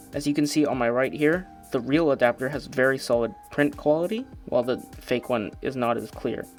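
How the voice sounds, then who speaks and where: A man's voice with ordinary pitch variation over music in the background. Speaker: product reviewer. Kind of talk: casual talk to camera.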